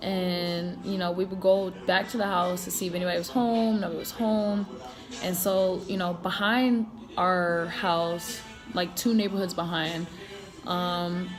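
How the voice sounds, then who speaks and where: Music plays in the background and audible room echo surrounds a woman speaking at a medium pitch. Her intonation is monotone and flat, and her pace is fairly slow. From Connecticut and South Carolina, US. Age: 20s. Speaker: marine and vlogger. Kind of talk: casual personal vlog storytelling. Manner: casual, filler-heavy.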